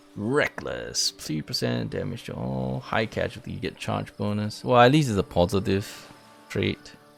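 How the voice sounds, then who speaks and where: A man's fairly low voice at a moderate pace, with very wide pitch swings and music in the background. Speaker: gaming streamer. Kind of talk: live gameplay stream commentary. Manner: casual, chatty.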